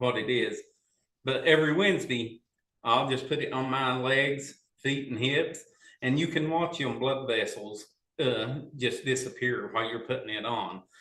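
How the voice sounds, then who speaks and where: With a normal speaking voice, a man talks at a moderate pace. His pitch is medium, with ordinary pitch variation. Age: 50s. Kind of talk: casual chat.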